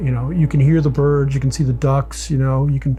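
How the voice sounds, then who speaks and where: Over noticeable background noise, someone speaks at a moderate pace with an American accent. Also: man. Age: 60s. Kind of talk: documentary interview.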